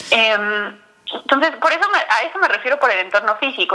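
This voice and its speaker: Using lively intonation, a woman speaks in a fairly high voice. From Mexico City. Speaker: nutritionist and diabetes educator. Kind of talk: interview. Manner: halting, repeats words.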